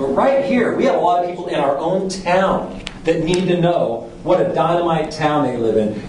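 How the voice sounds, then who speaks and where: A man speaks at a moderate pace with hardly any pauses. Light background noise and audible room echo come through. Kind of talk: public presentation. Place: hall. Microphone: podium.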